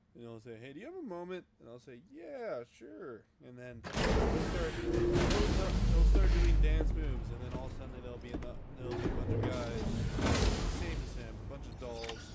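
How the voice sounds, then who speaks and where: Moderate pace over noticeable background noise. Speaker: gaming streamer. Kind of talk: casual live stream commentary. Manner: casual, rambling with fillers. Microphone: quiet, mic getting quieter.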